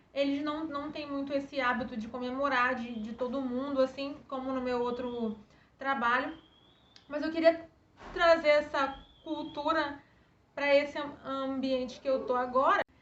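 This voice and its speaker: Her voice is high-pitched and her intonation fairly even, while this woman speaks at a fairly slow pace with big swings in loudness. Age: adult. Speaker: YouTuber talking about her stuttering. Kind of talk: personal testimony vlog. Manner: halting with repetitions.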